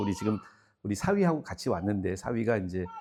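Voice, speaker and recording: On a very clean recording with a silent background, a man speaks in a relaxed, dark, mellow tone with very wide pitch swings. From South Korea. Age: 60s. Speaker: guest pastor. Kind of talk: revival meeting sermon. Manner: casual, relaxed.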